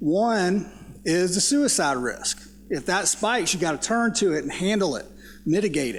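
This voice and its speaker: In a Southern US accent, a man talks in a high voice with lively intonation. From US South. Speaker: psychology professor. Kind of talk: panel discussion.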